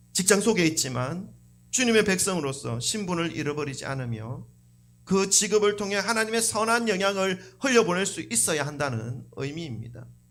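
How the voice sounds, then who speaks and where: A high-pitched man at a moderate pace, with very wide pitch swings and audible room echo. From South Korea. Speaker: pastor. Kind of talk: sermon. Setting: church. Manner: conversational.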